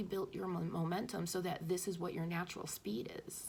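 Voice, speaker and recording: A woman speaks at medium pitch with vocal fry. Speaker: spiritual channeler / intuitive messenger. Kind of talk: spiritual message monologue. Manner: fast; hesitant, stumbling over words.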